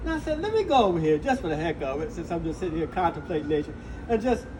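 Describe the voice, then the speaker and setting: This man's pitch swings very widely, heard against noticeable background noise. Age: 60s. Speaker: Air Force veteran. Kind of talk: interview answer.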